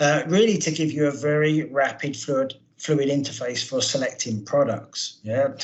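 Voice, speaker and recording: A man with a British accent, a fairly high pitch, ordinary pitch variation and a moderate pace. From UK. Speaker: product manager. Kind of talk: webinar presentation. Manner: halting.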